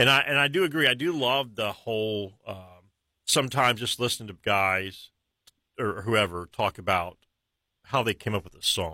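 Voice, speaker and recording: A man with a medium-pitched voice and a bright, sharp tone speaks at a moderate pace with lively intonation, big swings in loudness and long, frequent pauses, on a very clean recording with a silent background. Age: 50s. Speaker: radio host. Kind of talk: casual interview.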